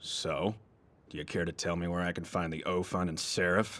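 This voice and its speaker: On a very clean recording with a silent background, a man puts on a raspy character voice at a very deep, low pitch, speaking at a moderate pace. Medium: cartoon. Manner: composed, dry.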